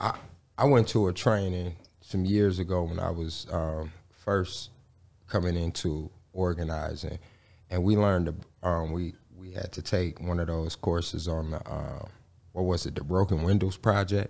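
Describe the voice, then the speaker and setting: The intonation stays fairly even. The recording is very clean, with a silent background. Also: man, very deep, low pitch for a man, moderate pace. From Gary, Indiana. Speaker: community organizer and activist. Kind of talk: podcast interview.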